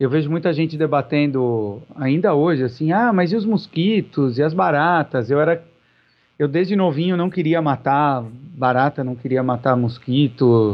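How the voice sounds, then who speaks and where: With an unremarkable speaking voice, a man speaks at a moderate pace, his fairly high pitch carried by lively intonation. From Brazil, São Paulo. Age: 40s. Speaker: vegetarian society president. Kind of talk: podcast interview.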